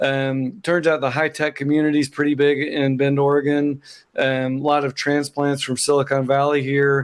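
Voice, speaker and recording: In an Oklahoma accent, a man speaks at a moderate pace in a flat monotone, his pitch fairly high and his loudness very even. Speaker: accountant, business founder. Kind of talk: interview, casual chat.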